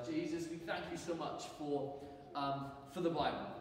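A man talks at a moderate pace. Light background noise and audible room echo can be heard. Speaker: church teacher. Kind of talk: sermon. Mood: warm, light-hearted. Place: church. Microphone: camera far.

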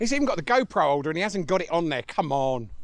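Speaking at a very fast pace, a man uses a high pitch with very wide pitch swings. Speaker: van life vlogger. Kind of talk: product review vlog.

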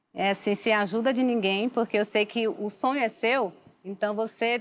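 A woman talks at a moderate pace. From Salvador, Bahia, Brazil; Bahia, Brazil. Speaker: author; guest. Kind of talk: interview testimony. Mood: personal life story, earnest. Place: studio. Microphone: lapel.

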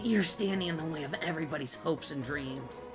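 A man puts on a character voice while clear music plays behind him. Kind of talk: dramatic battle speech. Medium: virtual streamer. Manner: defiant, menacing, passionate.

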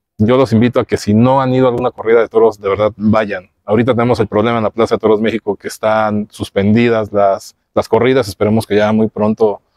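A man at fairly low pitch, monotone and flat, at a very fast pace with hardly any pauses, in a dry sound with no echo against a quiet background. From Mexico. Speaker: podcast host. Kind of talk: interview. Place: garden.

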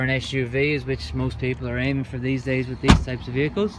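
Noticeable background noise accompanies a man talking at a fairly quick pace, the sound dry with no echo. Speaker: car salesperson. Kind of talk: sales walkaround presentation. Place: street. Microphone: phone near.

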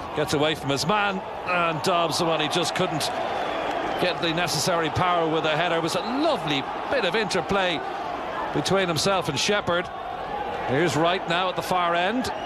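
The speech moves at a moderate pace with long, frequent pauses. The sound is dry with no echo, but loud background noise is present. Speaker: football commentator. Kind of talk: live football match commentary over highlights. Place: stadium.

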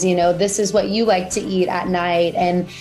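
Faint music plays in the background as the voice keeps a fairly even intonation. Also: woman. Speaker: interview guest. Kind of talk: interview answer. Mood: warm, cheerful. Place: home room. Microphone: video call.

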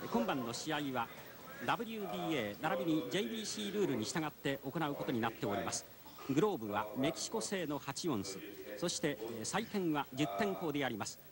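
Noticeable background noise sits behind a man with a fairly high pitch. He moves at a moderate pace with very wide pitch swings. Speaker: boxing play-by-play commentator. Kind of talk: live commentary. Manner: formal.

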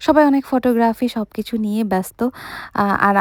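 Recorded very cleanly against a silent background, with a dry, close sound and no echo, a woman speaks with a dark, mellow tone, a fairly high pitch and ordinary pitch variation. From Bangladesh, Munshiganj. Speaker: vlogger. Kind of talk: voiceover narration of a family video. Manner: casual, code-switching with English.

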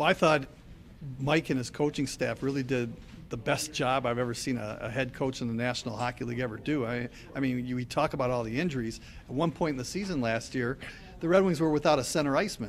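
The speech runs at a very fast pace with ordinary pitch variation. Light background noise can be heard. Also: man. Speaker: hockey radio play-by-play announcer. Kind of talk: interview answer. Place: cafe. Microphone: handheld.

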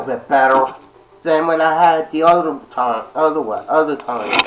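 Noticeable background noise sits behind the recording. A man speaks with a high pitch. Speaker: vlogger, gaming YouTuber. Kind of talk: casual vlog talk to camera. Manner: halting, many fillers.

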